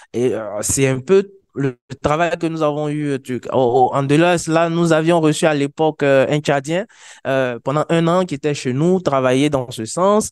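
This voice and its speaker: This man's voice sits fairly high and moves with ordinary pitch variation. He talks at a fairly slow pace against a quiet background. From Côte d'Ivoire. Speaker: wiki community organizer. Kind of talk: conference presentation. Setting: conference stage with audience. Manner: hesitant, many fillers. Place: meeting room.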